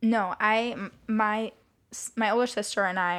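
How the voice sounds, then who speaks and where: A woman's fairly slow speech in an American accent, with fairly even intonation. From upstate New York, near Watertown. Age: young. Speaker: podcast guest. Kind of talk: casual chat. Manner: halting.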